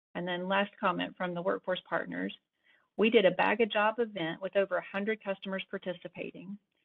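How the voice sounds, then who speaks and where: Over a quiet background, a woman talks at a fairly quick pace in a monotone, flat intonation. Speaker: state library workforce consultant; conference presenter. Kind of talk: online conference presentation. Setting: video call. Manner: halting, many fillers and restarts. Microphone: video call.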